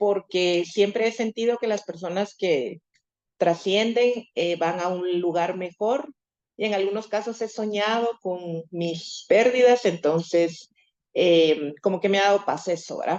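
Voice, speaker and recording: A woman at medium pitch with ordinary pitch variation and a fairly slow pace. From Guatemala. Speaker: course participant. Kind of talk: online class introduction. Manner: hesitant.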